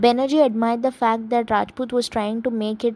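A woman speaks at a fairly high pitch. Her intonation is flat and monotone. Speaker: commentary youtuber. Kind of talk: commentary talk to camera. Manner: stammering.

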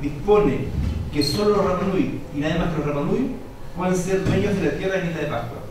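Talking at a very fast pace, a man with a high voice and ordinary pitch variation is heard through strong room echo over light background noise. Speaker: conference panelist. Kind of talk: read academic talk. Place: hall.

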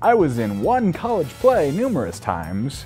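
A man talks at a fairly slow pace. Faint music plays in the background. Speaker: voice actor. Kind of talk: casual talk to camera. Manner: rambling, hesitant. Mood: playful, self-deprecating. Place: home room.

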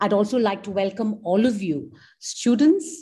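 Delivery comes at a fairly slow pace. There is a somewhat breathy quality to it. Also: woman. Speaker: event host. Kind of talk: welcome address. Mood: warm, then somber. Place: home room. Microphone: video call.

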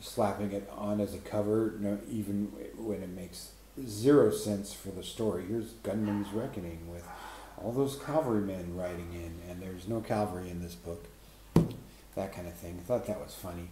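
Amid noticeable background noise, a man with a fairly low pitch talks at a moderate pace, his loudness swinging a lot. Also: ordinary pitch variation. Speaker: book reviewer. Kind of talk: casual vlog chat. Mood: wry, amused. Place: home room. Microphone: webcam.

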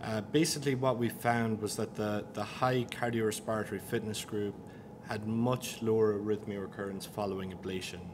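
A man with a fairly low pitch talks at a fairly quick pace with fairly even intonation. Noticeable background noise runs beneath him. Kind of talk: interview answer presenting study results. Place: meeting room. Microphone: podium.

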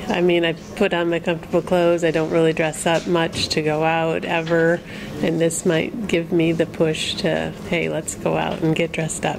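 Soft-spoken and at a very even loudness, the speaker uses a flat monotone at a moderate pace with an American accent, with noticeable background noise. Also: woman, fairly low pitch for a woman. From US Midwest. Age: 50s. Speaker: makeover client. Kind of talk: interview. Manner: halting. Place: studio.

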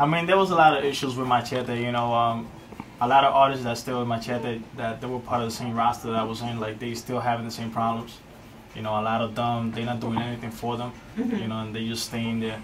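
With an American accent, a man speaks very fast at a medium pitch and with fairly even intonation. Noticeable background noise and audible room echo fill the recording. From Brooklyn, New York. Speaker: rapper. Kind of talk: radio interview. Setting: radio studio.

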